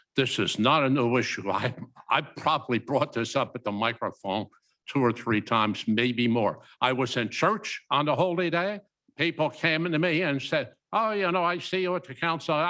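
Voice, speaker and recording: Loud and with lively intonation, a man speaks at a moderate pace with a bright, sharp tone on a very clean recording with a silent background. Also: fairly high pitch for a man. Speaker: council member. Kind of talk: council meeting discussion.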